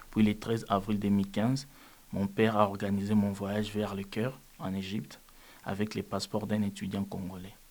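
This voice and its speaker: This man's pitch sits fairly low, and his pace is moderate. The intonation stays flat and monotone. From DR Congo. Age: 20s. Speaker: refugee. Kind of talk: testimony. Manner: calm.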